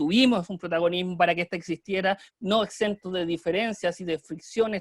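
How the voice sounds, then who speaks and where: Delivery runs at a fairly quick pace with fairly even intonation. The sound is dry and close, with no echo. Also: man. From Chile. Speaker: student leader, political activist. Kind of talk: online panel talk.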